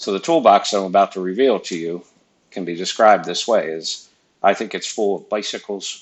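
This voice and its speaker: At a moderate pace, a man speaks in a plain, everyday voice with a fairly low pitch. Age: 50s. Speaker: engineering professor. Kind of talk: lecture.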